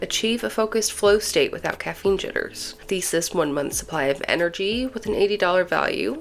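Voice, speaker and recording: A woman speaks over noticeable background noise. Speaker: nursing student. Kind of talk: casual unboxing talk to camera.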